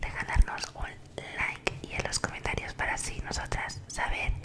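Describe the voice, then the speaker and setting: Loud background noise surrounds this recording. A soft-spoken woman talks at a fairly slow pace. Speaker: ASMR creator. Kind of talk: soft casual vlog chat. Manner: soft close-mic ASMR voice. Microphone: studio mic.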